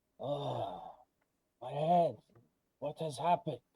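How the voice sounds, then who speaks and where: Putting on a character voice, a man speaks fairly slowly in a raspy, fairly high voice with fairly even intonation. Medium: actual play. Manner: hesitant, stammering.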